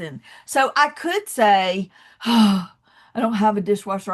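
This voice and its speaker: A woman with a Southern US accent, fairly high pitch, a somewhat breathy quality, ordinary pitch variation and a quiet background. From US South, Atlanta, Georgia. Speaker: motivational speaker. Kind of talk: motivational talk. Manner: animated.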